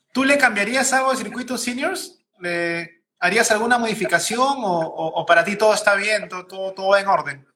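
A man projects a raised, high-pitched voice with lively intonation. He keeps a moderate pace with hardly any pauses. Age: 30s. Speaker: podcast host. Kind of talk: casual interview. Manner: halting, repeats words.

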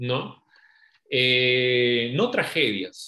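The man's voice has a bright, sharp tone. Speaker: podcast co-host. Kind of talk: casual discussion.

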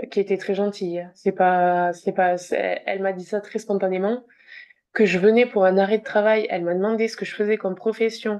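Against a quiet background, a woman at medium pitch speaks at a fairly slow pace with a dark, mellow tone and monotone, flat intonation. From southwest France. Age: 20s. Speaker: speech therapist. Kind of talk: personal testimony interview. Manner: halting.

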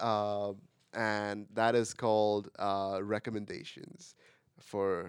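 A man speaks very slowly at a fairly low pitch with ordinary pitch variation. The recording is very clean, with a silent background. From India (Pune). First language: an Indian language, not English. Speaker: college student podcast co-host. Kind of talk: casual chat. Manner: halting, many repeated words.

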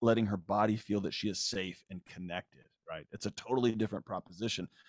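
This man has an ordinary speaking voice with an American accent, talking at a fairly quick pace. The recording is very clean with a silent background and a dry, close sound with no echo. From Texas, Houston. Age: 40s. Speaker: psychologist and author. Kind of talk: casual chat.

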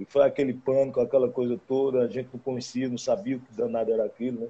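Dark, mellow tone in a man's voice of medium pitch. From Caruaru, Pernambuco, Brazil. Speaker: forró musician. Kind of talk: casual interview chat.

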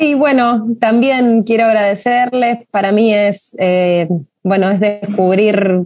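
Her pitch is medium and her intonation fairly even. The woman speaks at a very slow pace. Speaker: moderator. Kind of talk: interview.

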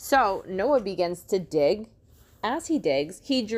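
This is a natural reading voice. It reads the text through.

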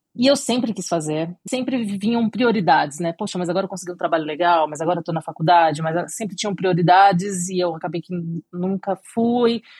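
A woman speaks at a fairly quick pace with hardly any pauses, her voice somewhat breathy and fairly low in pitch with ordinary pitch variation. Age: 30s. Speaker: cake designer. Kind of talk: interview.

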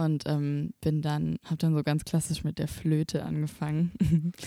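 The woman's voice is very deep and low in pitch, with a dark, mellow tone. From Swabia, Germany (Böblingen near Stuttgart). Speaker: singer-songwriter and student teacher. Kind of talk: casual chat. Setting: rehearsal room.

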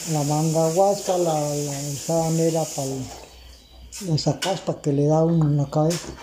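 The speech runs at a fairly slow pace with hardly any pauses. Noticeable background noise is present. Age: old. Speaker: farmer. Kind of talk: interview. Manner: halting.

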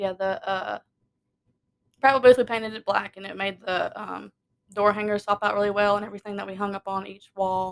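A woman speaks in a Southern US accent at a medium pitch, her intonation flat and monotone. Her loudness swings widely, and she pauses often and at length. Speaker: podcast co-host. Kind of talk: casual chat.

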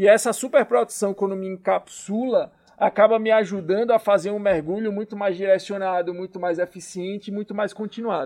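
With hardly any pauses, a man talks in a high pitch, the sound dry and close with no echo. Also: ordinary pitch variation, moderate pace, big swings in loudness. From Salvador, Bahia, Brazil; teen years in Natal. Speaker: startup founder. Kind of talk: casual interview.

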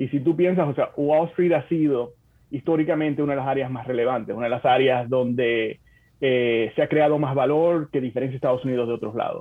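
Fairly quick and fairly even in intonation, a man talks in an ordinary speaking voice at medium pitch. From Dominican Republic (Santo Domingo, Bonao). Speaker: corporate development manager at a tech company. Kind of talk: interview.

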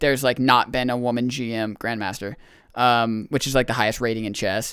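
Speaking at a very fast pace, a man keeps a medium pitch. The recording is very clean with a silent background. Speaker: podcast guest and maker of dice. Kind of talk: casual chat. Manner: casual, slangy.

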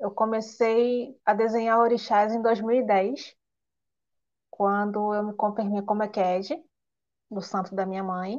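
A woman with a Rio de Janeiro accent, a fairly high pitch and a dark, mellow tone at a very slow pace. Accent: carioca. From Rio de Janeiro state, Nova Iguaçu. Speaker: illustrator. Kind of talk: interview on a live stream.

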